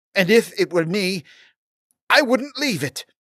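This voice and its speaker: Moderately paced and at a middle pitch, a put-on character voice. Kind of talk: fantasy audiobook character reading. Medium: read story. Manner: articulate, scholarly, sly.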